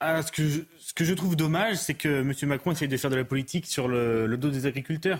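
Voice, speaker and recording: The man's pitch sits fairly high. There is some breathiness in his voice. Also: ordinary pitch variation, fairly quick pace, hardly any pauses. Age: 20s. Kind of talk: testimony. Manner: halting.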